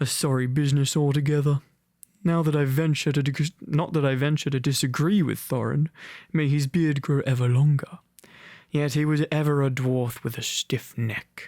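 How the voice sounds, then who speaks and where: A put-on character voice, rumbling and low-to-middle in pitch, moves at a moderate pace in a very clean recording with a silent background. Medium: read story. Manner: grumbling.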